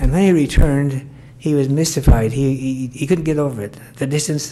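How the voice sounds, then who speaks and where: A moderate pace amid noticeable background noise. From US West, Mesquite, Nevada. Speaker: retired school principal. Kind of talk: oral history interview.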